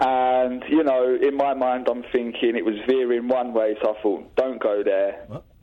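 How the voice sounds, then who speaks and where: A medium-pitched man's voice at a fairly slow pace, with monotone, flat intonation and noticeable background noise. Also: hardly any pauses. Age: 30s. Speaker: caller. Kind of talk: casual chat. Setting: phone call.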